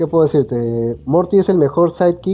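The man's delivery holds to a moderate pace. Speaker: podcast co-host. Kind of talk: casual chat. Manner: serious-sounding.

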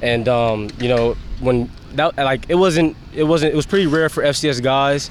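Noticeable background noise accompanies a man with an American accent speaking at medium pitch. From Pennsylvania, Harrisburg area. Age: 20s. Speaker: pro football running back. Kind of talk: interview.

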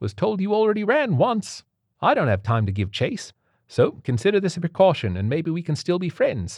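In a put-on character voice with a Cockney accent, a man speaks at a moderate pace with high pitch and very wide pitch swings, his slightly mellow tone carrying a slightly husky edge, in a very clean recording with a silent background.

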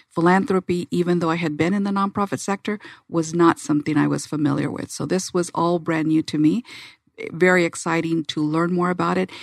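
In a normal speaking voice, a woman talks at a fairly quick pace with a fairly low pitch and fairly even intonation, the sound dry and close with no echo. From Arizona. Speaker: community foundation executive. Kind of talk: interview. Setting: studio.

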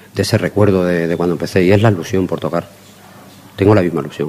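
A man speaks with a very deep, low pitch and ordinary pitch variation. Noticeable background noise runs underneath. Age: middle-aged. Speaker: blues guitarist and bandleader. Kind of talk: interview.

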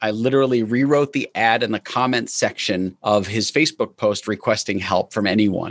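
Against a quiet background, a man with an American accent and an ordinary speaking voice talks at a moderate pace with medium pitch and ordinary pitch variation, in a dry, close sound with no echo. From New York. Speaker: entrepreneur. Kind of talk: interview.

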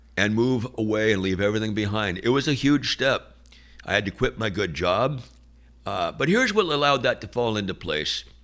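With an American accent, a man talks at a fairly quick pace in an unremarkable speaking voice with ordinary pitch variation. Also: fairly low pitch for a man. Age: 60s. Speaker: two-way radio business owner. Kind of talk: casual interview.

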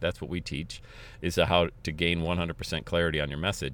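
A man with a very deep, low voice and vocal fry talks at a fairly quick pace in a very clean recording with a silent background. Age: 50s. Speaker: motivational podcast host and coach. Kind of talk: motivational monologue. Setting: in a car. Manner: energetic.

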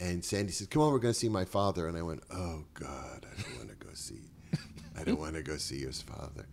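A man with an American accent speaks with a very deep, low pitch and vocal fry. His intonation is lively, and his loudness swings widely. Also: fairly quick pace. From Boston, Massachusetts. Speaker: comedian and writer. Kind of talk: casual chat.

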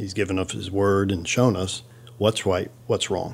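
This man talks at a moderate pace in a fairly low pitch. He has an ordinary speaking voice. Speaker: pastor. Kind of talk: casual chat.

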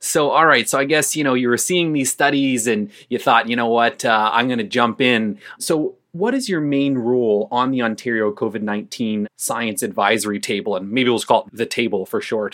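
A man talks in an ordinary speaking voice, medium in pitch with ordinary pitch variation. He keeps a moderate pace with hardly any pauses. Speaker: podcast host. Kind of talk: interview. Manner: casual, jokey.

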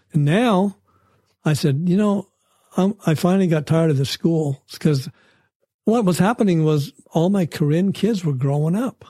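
A dark, mellow voice with ordinary pitch variation and very even loudness speaks at a moderate pace, leaving long, frequent pauses, in a dry, close sound with no echo. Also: man, high pitch for a man. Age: 70s. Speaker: church volunteer and lay missionary. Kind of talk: interview. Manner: halting, with frequent repetitions.

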